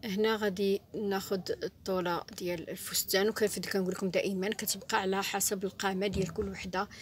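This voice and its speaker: A woman's medium-pitched voice in a Moroccan accent, with monotone, flat intonation, a moderate pace and hardly any pauses. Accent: Moroccan Arabic (Darija). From Morocco. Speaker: sewing teacher. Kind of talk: tutorial. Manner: halting.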